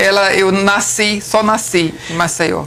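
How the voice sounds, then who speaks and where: Woman with a northeastern Brazilian accent, medium pitch and monotone, flat intonation, against noticeable background noise. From Brazilian Northeast, Alagoas and Paraíba (Campina Grande). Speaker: civil engineer. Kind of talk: interview.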